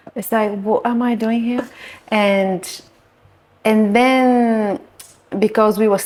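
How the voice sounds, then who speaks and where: A woman with a Bulgarian accent speaks at a fairly slow pace in a fairly high pitch. Her intonation stays fairly even. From Bulgaria, Varna. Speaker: nude art photographer. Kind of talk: podcast interview. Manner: halting.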